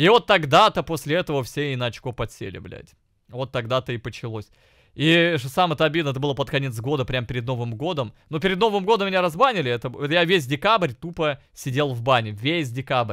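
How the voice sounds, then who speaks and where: This man's voice is fairly high, and his tone is animated. His intonation is lively. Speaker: streamer. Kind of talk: casual stream reaction commentary. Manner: profane, animated.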